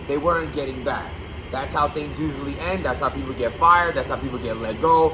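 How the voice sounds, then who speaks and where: The voice is loud, with noticeable background noise. Room echo is audible. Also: man. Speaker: YouTube blogger on battle rap. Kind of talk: casual vlog commentary. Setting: loud basement room.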